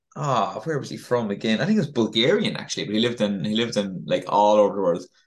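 A man with an Irish accent talks at a very fast pace, his fairly low voice showing ordinary pitch variation. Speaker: podcast co-host, coach. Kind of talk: casual chat. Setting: video call. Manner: halting, repetitive.

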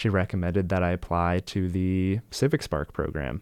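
Recorded very cleanly against a silent background, the speaker uses an American accent at a fairly slow pace. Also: man. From Colorado. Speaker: county climate fellow. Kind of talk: radio interview. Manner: hesitant, many fillers.

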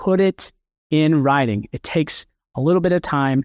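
A man with an American accent speaks in a normal speaking voice, fairly high-pitched and lively in intonation, the sound dry and close with no echo on a very clean recording over a silent background. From Kansas, US Midwest. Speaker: estate planning attorney. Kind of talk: conference presentation. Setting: stage with audience.

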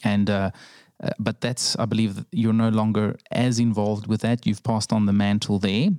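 A man's fairly low, dark and mellow voice in a flat monotone, recorded dry and close with no echo, very clean, over a silent background. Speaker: podcast host. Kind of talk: interview.

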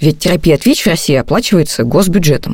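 Here a woman is speaking. Her pitch shows ordinary variation. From Russia, Novosibirsk. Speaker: podcast host and journalist. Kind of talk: scripted narration.

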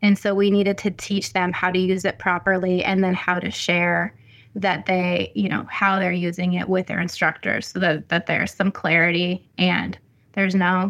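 At a moderate pace, a plain, everyday voice speaks with fairly even intonation on a very clean recording with a silent background. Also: woman. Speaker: education professor. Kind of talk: interview conversation.

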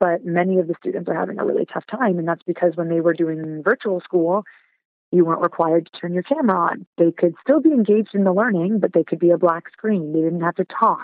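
A raspy woman's voice, fairly low in pitch, with ordinary pitch variation at a very fast pace. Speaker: teacher. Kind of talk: casual interview.

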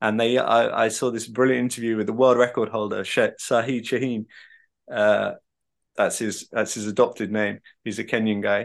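In a southern English accent, a man speaks at a moderate pace against a quiet background. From England, Devon. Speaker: author and journalist. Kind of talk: interview conversation.

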